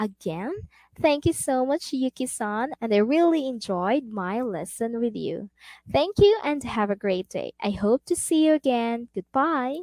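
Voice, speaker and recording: A woman with a Filipino accent, high pitch and very wide pitch swings, at a fairly slow pace, in a dry, close sound with no echo. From Philippines. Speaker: online English tutor. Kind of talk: role-play demo lesson; tutorial. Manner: animated.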